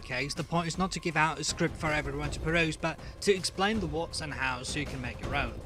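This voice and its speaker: A fairly high-pitched man's voice at a very fast pace, with noticeable background noise. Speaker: game developer. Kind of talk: programming tutorial narration.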